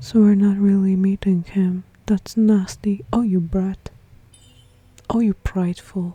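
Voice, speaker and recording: With a non-native accent, the speaker goes at a fairly slow pace with long, frequent pauses. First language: not English. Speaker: gaming streamer. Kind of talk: game playthrough with commentary. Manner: casual, chatty.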